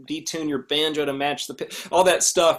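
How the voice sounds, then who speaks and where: This man has a normal speaking voice, fairly high in pitch, at a moderate pace. The recording is very clean, with a silent background. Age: 30s. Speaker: banjo player and music teacher. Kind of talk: casual chat.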